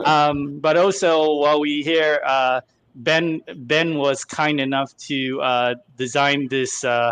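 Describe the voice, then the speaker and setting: A man speaks in a dry, close sound with no echo against a quiet background. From Singapore. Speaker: show co-host, collectibles store owner. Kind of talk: casual chat.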